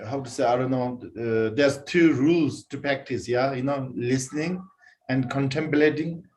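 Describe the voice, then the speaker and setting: Non-native accent, a man speaks at medium pitch. His pitch variation is ordinary. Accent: non-native English speaker. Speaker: Buddhist teacher. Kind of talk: dharma teaching. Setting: online broadcast with concurrent translation. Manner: halting, many fillers.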